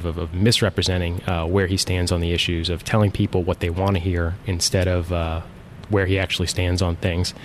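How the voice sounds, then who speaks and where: Very fast and flat in a monotone, a man speaks with a very deep, low pitch against noticeable background noise. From South Jersey (Mays Landing, near Atlantic City). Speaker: state senator. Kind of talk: interview. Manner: halting, many fillers.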